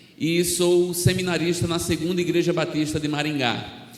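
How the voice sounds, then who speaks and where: A man with a northeastern Brazilian accent, at a moderate pace and with fairly even intonation, in audible room echo. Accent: northeastern Brazilian (Alagoas). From Brazil, Alagoas (Maceió area). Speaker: missionary preacher. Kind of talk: sermon.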